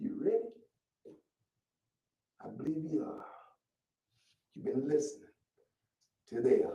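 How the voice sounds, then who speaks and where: The man's animated tone comes with big swings in loudness, a fairly slow pace and long, frequent pauses, with audible room echo around him. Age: 70s. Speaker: activist show host and elder. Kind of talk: political talk show monologue. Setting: live stream. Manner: halting, repeats words; animated, preaching style.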